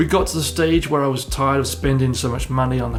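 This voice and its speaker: Speech at a fairly quick pace is heard through noticeable background noise and audible room echo. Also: man. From southern England. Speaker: real estate broker. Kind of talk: personal story video.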